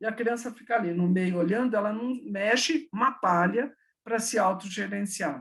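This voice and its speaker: A woman with a plain, everyday voice, medium pitch, lively intonation and a moderate pace. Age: 60s. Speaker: education professor. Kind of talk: online talk with Q&A.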